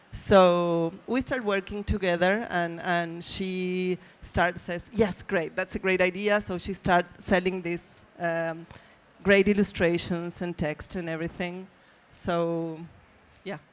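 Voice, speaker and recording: A woman's very slow, monotone delivery in a Spanish accent, with flat intonation and a fairly low pitch. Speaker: publisher. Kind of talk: panel discussion. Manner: halting.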